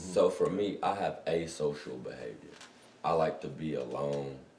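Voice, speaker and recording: A man talks with long, frequent pauses and big swings in loudness. Audible room echo surrounds his voice. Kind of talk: casual chat. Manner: loud, projecting.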